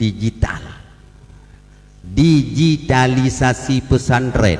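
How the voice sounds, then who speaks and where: A man with an Aceh accent. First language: Acehnese (speaking Indonesian). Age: 60s. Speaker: religious leader speaking at ceremony. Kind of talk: ceremonial speech. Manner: humorous, conversational.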